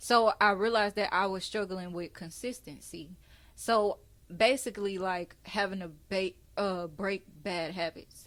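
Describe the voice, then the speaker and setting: A woman speaks with a Houston accent at a fairly slow pace. The recording is very clean, with a silent background. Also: medium pitch for a woman, fairly even intonation. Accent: country Houston way of talking. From Texas, Houston. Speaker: podcast host. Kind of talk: casual chat.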